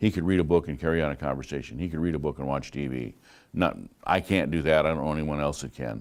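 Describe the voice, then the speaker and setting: Vocal fry runs through very fast speech with ordinary pitch variation on a very clean recording with a silent background. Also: man, very deep, low pitch for a man. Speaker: college instructor. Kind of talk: lecture. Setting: classroom. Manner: loud.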